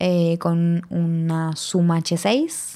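Here a woman talks with a fairly low pitch. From Argentina, Buenos Aires. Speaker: sound recordist. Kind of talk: casual interview. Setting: remote recording at home mic.

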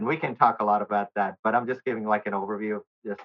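Delivered at a fairly quick pace, this is an unremarkable speaking voice with an American accent. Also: man. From US South, Nashville, Tennessee. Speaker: volunteer and utility engineer. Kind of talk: interview.

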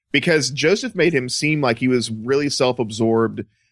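This man talks at a moderate pace with an American accent and a medium pitch. The pitch variation is ordinary, and the recording is very clean with a silent background. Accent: light Southern US, suppressed. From US South. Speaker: podcast co-host. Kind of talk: casual chat. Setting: studio.

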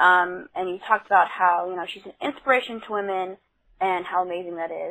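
This woman has an unremarkable speaking voice with a medium pitch. She talks at a moderate pace. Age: 20s. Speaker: listener leaving a voicemail. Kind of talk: voicemail.

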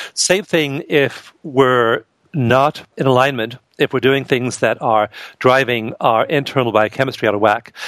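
A man with a plain, everyday voice speaks at medium pitch and a moderate pace, with ordinary pitch variation and a dry, close sound with no echo. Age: 50s. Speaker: author and researcher. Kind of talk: interview.

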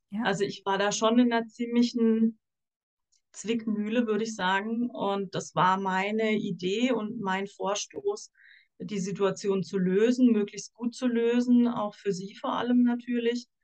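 A woman with a normal speaking voice and fairly high pitch talks at a fairly slow pace with fairly even intonation. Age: 40s. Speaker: social worker. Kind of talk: casual chat.

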